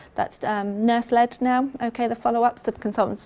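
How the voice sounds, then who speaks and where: This woman speaks with an English accent and a fairly high pitch. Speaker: pain management nurse specialist. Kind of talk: health talk presentation. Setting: talk to a live audience. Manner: casual, hesitant with frequent ums.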